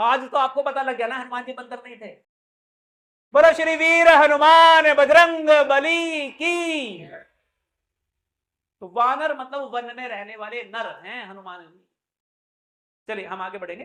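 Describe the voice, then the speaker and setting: Raising and projecting his voice, a man speaks in an animated tone with ordinary pitch variation, big swings in loudness, and long, frequent pauses. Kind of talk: religious discourse. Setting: temple with audience.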